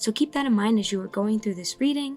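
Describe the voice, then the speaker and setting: A woman speaks at a fairly high pitch with ordinary pitch variation. Music sits in the background. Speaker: tarot card reader. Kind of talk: ASMR-style tarot reading. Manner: soft calm ASMR style.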